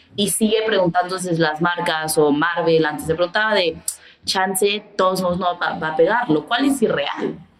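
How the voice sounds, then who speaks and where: Against noticeable background noise, a woman speaks at a moderate pace in a fairly low voice. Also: ordinary pitch variation. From Mexico. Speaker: photographer and creative director. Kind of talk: casual interview chat.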